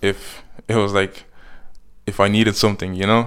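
In a fairly low pitch and monotone, flat intonation, a man speaks on a very clean recording with a silent background. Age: young. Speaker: student. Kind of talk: casual interview.

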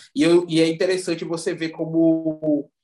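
A man speaks in a high register while music runs in the background. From Recife, Pernambuco, Brazil. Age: 30s. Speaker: visual artist. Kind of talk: casual interview chat.

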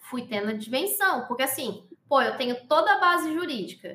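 A woman with a high pitch talks at a moderate speed. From Pernambuco, Brazil. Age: 20s. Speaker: sign language interpreter. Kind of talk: casual interview.

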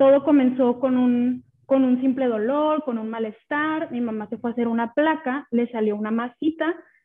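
A woman speaks at a high pitch with fairly even intonation. Her pace is moderate, with hardly any pauses. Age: 30s. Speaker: podcast guest sharing her grief. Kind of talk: personal testimony.

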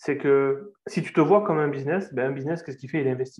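A man talks at a fairly quick pace. He has a southern French accent. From southern France. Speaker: sales closer. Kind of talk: interview.

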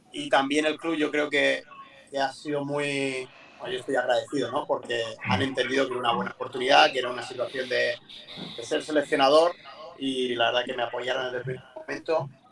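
The voice moves at a fairly quick pace in a monotone, flat intonation, with noticeable background noise behind it. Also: man, fairly high pitch for a man. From Murcia, Spain. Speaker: basketball coach. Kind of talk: interview. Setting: video call from a parked car.

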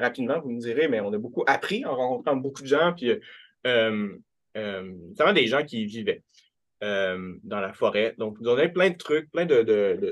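A man speaks at a medium pitch and a moderate pace. He has an ordinary speaking voice. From rural Quebec. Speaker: writer and literature professor. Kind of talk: academic talk.

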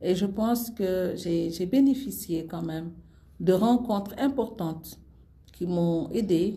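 The voice has a dark, mellow, somewhat breathy tone and lively intonation, with audible room echo. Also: woman. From Senegal. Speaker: former government minister. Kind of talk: interview. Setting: in person in Senegal.

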